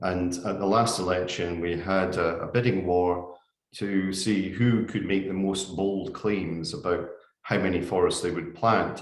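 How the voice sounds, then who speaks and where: With a Scottish accent, the speaker goes at a fairly slow pace with fairly even intonation, and room echo is audible. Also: man, very deep, low pitch for a man. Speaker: forestry industry speaker. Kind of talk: webinar presentation. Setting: online webinar. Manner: measured, with frequent filler 'uh'.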